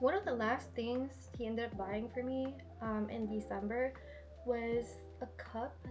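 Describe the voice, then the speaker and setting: Music plays in the background as a woman speaks amid audible room echo. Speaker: lifestyle vlogger. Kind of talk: casual haul vlog. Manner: chatty, casual.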